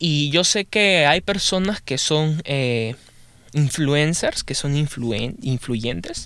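Very slowly, a man speaks in a bright, sharp tone. His intonation is lively. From Peru. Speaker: podcaster. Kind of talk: casual monologue. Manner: halting.

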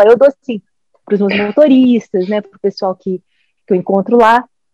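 With a dry, close sound and no echo, a woman keeps to a moderate tempo. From Brazil. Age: 40s. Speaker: governance specialist. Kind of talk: casual chat.

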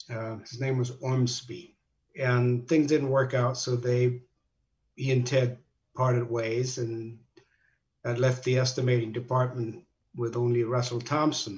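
Somewhat breathy and monotone, a man at medium pitch speaks with long, frequent pauses. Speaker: retired construction company president. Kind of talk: interview.

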